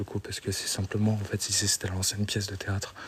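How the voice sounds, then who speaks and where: A man speaks at a moderate pace in a fairly low, somewhat breathy voice. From France, Meurthe-et-Moselle (54). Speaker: urban explorer streamer. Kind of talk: live stream narration. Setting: abandoned building, exploring live. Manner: soft-spoken, speaking quietly.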